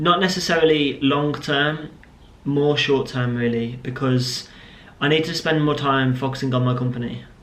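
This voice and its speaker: A man at a medium pitch is heard amid noticeable background noise, with audible room echo around him. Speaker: vlogger and business owner. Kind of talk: casual vlog to camera.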